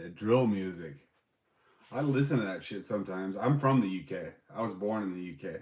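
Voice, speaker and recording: Using an unremarkable speaking voice, a man with an American accent talks at a fairly quick pace with big swings in loudness. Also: fairly low pitch for a man. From England. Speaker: live streamer reviewing bags and knives. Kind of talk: casual livestream chat reading viewer comments. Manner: relaxed, casual, with filler words.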